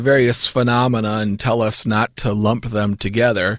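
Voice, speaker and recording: A man with a plain, everyday voice at a medium pitch and moderate pace, in a dry, close sound with no echo. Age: 50s. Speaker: seminary professor. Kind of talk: interview.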